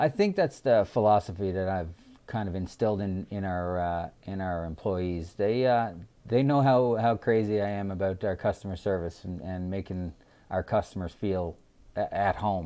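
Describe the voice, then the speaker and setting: Against a quiet background, a man speaks with a fairly low pitch, a dark, mellow tone and ordinary pitch variation. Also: moderate pace. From Newfoundland, Canada. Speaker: restaurant owner. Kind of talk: casual interview. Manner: halting, many fillers and repeats.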